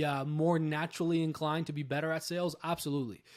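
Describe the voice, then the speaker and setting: A man talks at a very fast pace in a fairly high pitch with monotone, flat intonation. The recording is very clean, with a silent background. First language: not English. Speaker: sales trainer. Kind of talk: interview answer about hiring salespeople. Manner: conversational, with many fillers.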